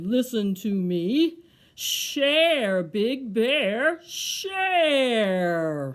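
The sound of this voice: Using a put-on character voice, a female-sounding speaker talks at a very slow pace in a fairly high pitch with very wide pitch swings.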